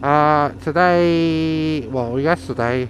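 The speaker is a man. The sound is dry with no echo, over light background noise. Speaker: motorcycle vlogger. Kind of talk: casual vlog chat. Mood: relaxed, chatty. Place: motorbike. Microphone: helmet.

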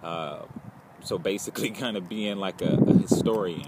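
A man at a moderate pace with ordinary pitch variation, a dry sound with no echo and loud background noise. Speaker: film student vlogger. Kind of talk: casual vlog chat. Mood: reflective, calm. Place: garden. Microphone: phone near.

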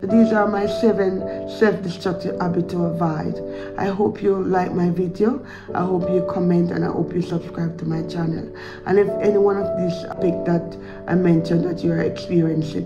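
Music plays clearly behind the speaker. She is a woman talking at a moderate pace. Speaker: vlogger. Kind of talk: casual advice vlog talk. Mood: calm, reflective. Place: home room. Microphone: phone near.

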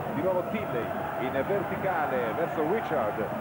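A man's voice comes through dry with no echo over loud background noise. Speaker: sports commentator. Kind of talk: live ice hockey play-by-play commentary.

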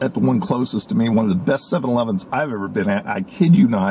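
In a dry recording with no echo, a man speaks at a fairly quick pace with very wide pitch swings. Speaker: food reviewer. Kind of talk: casual vlog review. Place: car. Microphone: phone near.

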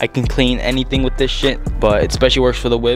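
This man talks at a very fast pace. The sound is dry with no echo, and clear music plays in the background. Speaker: car owner vlogger. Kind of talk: casual vlog tutorial. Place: garage. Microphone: phone near.

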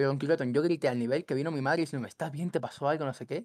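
Very fast speech comes from a man with a fairly high voice. The background is quiet and the sound is dry with no echo. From Cuba, then Ecuador from age 10. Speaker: gaming content creator. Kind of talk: casual chat. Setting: call. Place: home room. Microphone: headset.

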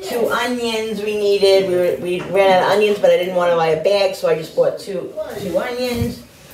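This woman's tone is slightly mellow. Room echo is audible around her voice. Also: medium pitch for a woman, ordinary pitch variation, moderate pace.

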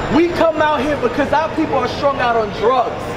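Against loud background noise, a man speaks at a fairly slow pace. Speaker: bishop and street preacher. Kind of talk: street preaching. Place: street. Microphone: camera far.

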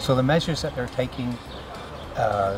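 A man talks while clear music is heard behind him. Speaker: interviewee. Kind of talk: interview answer. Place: garden.

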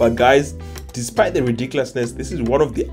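A man speaks fairly quickly while faint music plays behind him. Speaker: food travel vlogger. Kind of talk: casual vlog chat. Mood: delighted, enthusiastic. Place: cafe. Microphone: phone near.

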